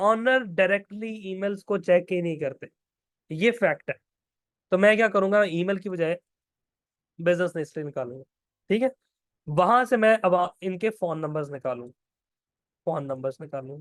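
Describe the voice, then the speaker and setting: Lively intonation at a fairly slow pace, marked by long, frequent pauses, in a dry, close sound with no echo. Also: man, high pitch for a man. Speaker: online course instructor. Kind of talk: lecture. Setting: online class with screen share. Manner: speaking louder than usual.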